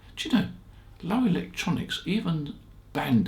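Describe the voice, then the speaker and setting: A man speaks at a fairly high pitch with vocal fry and very wide pitch swings. Audible room echo surrounds his voice. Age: 80s+. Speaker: ham radio shop founder and video host. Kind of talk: casual storytelling monologue. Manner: relaxed, conversational with fillers.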